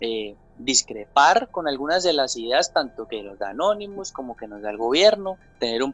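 With an ordinary speaking voice, a man talks at a moderate pace at a fairly high pitch with lively intonation. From Colombia, Santander. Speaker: TV journalist. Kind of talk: interview. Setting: remote from home.

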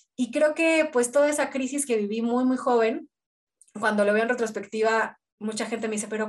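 Her voice sits at a high pitch, and this woman shows ordinary pitch variation. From Mexico City. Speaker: filmmaker and teacher. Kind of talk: casual chat.

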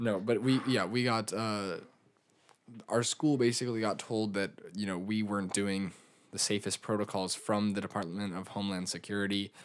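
Recorded very cleanly over a silent background, a man with a normal speaking voice talks at a moderate pace, pitched fairly low with fairly even intonation. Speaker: podcast co-host. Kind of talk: casual chat.

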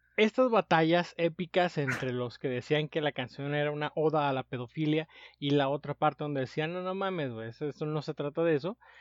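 With hardly any pauses, a man talks at a fairly quick pace and fairly high pitch, the sound dry and close with no echo against a quiet background. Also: ordinary pitch variation. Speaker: podcast co-host. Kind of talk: casual chat.

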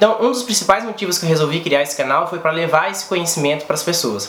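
Noticeable background noise and audible room echo surround a man's high voice with ordinary pitch variation. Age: 30s. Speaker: cooperative educator, YouTuber. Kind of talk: vlog monologue.

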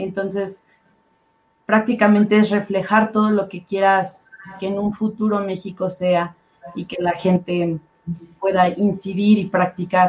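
Her medium-pitched voice stays monotone and flat while her loudness swings widely, and this woman talks at a fairly slow pace with long, frequent pauses. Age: young. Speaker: panel moderator. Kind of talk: panel moderation.

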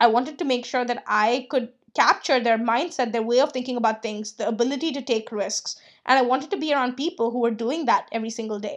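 The speaker has an enthusiastic tone and talks at a very fast pace. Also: woman, quiet background. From India. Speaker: freelance business coach and podcast host. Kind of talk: casual solo podcast monologue.

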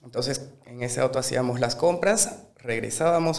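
In a room with audible echo, a man talks at a fairly quick pace, medium in pitch with ordinary pitch variation. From Bolivia, Sucre. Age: 20s. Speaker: chef. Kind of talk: casual interview.

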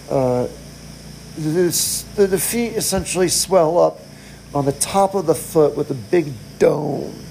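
Speech comes at a very slow pace with long, frequent pauses. Noticeable background noise is present. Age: 40s. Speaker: podcaster in hospice care. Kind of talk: personal monologue. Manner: halting.

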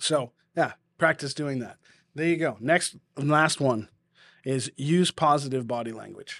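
A man's fairly high pitch with ordinary pitch variation and a slight Boston accent, at a fairly slow pace with long, frequent pauses, in a dry, close sound with no echo over a silent background in a very clean recording. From New England, US. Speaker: podcast host and churchgoer. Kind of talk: casual podcast chat with encouragement. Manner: warm, encouraging.

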